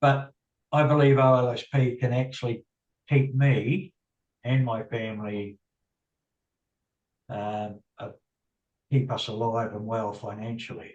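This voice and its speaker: Speaking at a fairly slow pace and a medium pitch, a man sounds somewhat breathy, leaving long, frequent pauses amid big swings in loudness. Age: 60s. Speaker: bus driver and affiliate marketer. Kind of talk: interview. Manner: halting.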